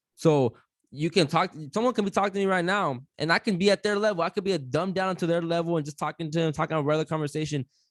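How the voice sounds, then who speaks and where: Loud and animated, a man with a high pitch and ordinary pitch variation speaks at a very fast pace in a very clean recording with a silent background and a dry, close sound with no echo. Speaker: podcaster, guest. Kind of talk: casual chat.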